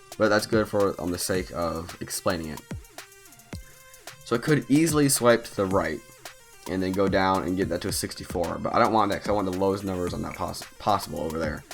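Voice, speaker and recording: Music plays in the background as a man speaks quietly at a fairly quick pace. His pitch is fairly low, with ordinary pitch variation. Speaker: mobile game channel host. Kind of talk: gameplay tutorial commentary. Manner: quiet, low-energy.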